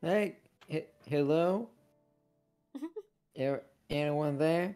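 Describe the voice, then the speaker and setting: With music in the background, a squeaky put-on character voice at a middle pitch moves at a very slow pace. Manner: anxious, calling for help.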